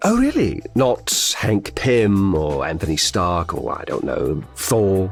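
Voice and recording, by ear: A man puts on a low-pitched character voice with vocal fry and big pitch swings. He goes at a slow pace while faint music plays in the background.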